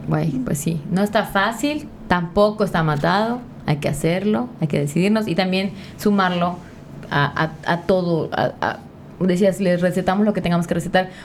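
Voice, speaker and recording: At a moderate pace, a woman speaks in a medium pitch with ordinary pitch variation and very even loudness. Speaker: podcast host. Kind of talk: casual chat. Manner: animated.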